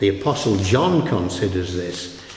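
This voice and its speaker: A man with a Yorkshire accent, with audible room echo and noticeable background noise. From northern England, Yorkshire. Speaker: pastor. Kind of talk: sermon.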